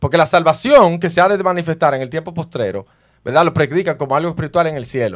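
Over a quiet background, a man talks at a very fast pace in a fairly high pitch, with vocal fry and ordinary pitch variation. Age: 30s. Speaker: preacher; podcast host, Bible debater. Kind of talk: heated debate. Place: studio. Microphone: studio mic.

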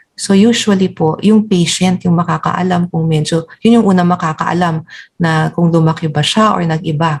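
Here a woman speaks at a moderate pace in a fairly low pitch. Her voice is somewhat breathy. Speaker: endocrinologist. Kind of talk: medical interview. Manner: polite, formal.

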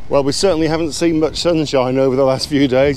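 A man talking at a fairly quick pace, dry with no echo, over noticeable background noise. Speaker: caravan vlogger. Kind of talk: casual vlog chat. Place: open country. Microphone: phone near.

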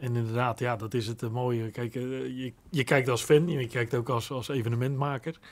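At a moderate pace, a man speaks with a medium pitch and fairly even intonation. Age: 50s. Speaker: son of a former footballer; guest. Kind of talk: interview. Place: studio. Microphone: studio mic.

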